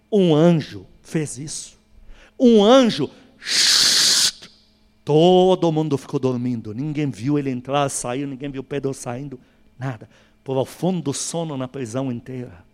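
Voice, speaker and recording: This man talks at a very slow pace and a fairly high pitch. His pitch varies in an ordinary way. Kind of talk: sermon.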